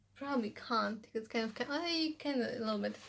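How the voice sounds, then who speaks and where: This woman has a fairly high pitch and a Polish accent. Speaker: language-learning vlogger. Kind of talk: tutorial. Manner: casual, with fillers.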